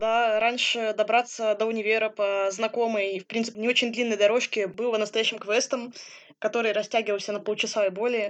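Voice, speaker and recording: A woman speaks at a fairly quick pace with a fairly high pitch and flat, monotone intonation. The background is quiet. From Siberia, Kemerovo. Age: 20s. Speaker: blind psychology student, assistance dog owner. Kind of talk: interview.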